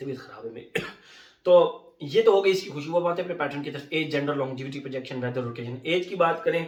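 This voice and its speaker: Audible room echo surrounds a man with a fairly high pitch, ordinary pitch variation and a moderate pace. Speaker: fragrance reviewer. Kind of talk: product review. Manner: casual, conversational.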